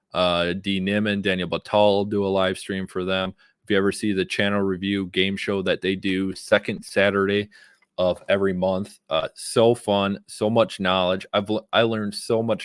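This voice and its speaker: A man at a moderate pace and fairly low pitch, monotone and flat in intonation, in a very clean recording with a silent background. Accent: Wisconsin. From Wisconsin, US. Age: 30s. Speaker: YouTube creator and live streamer. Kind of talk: live stream talk to viewers. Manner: casual, filler-heavy.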